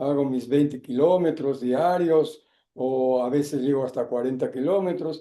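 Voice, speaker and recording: Dark, mellow tone and ordinary pitch variation in a man's fairly high voice. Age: 80s+. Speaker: actor. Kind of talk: interview. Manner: halting, many fillers.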